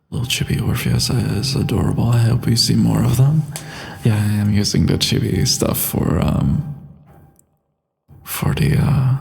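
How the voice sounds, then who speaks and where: With music in the background, a man at a medium pitch talks fairly slowly with lively intonation, very even loudness, and long, frequent pauses. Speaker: voice actor. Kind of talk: casual livestream chat.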